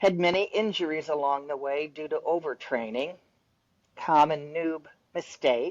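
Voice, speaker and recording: Pitch varies in an ordinary way as the words come out fairly slowly. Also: woman, very deep, low pitch for a woman. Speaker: amateur triathlete and trail runner. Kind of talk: interview. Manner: casual.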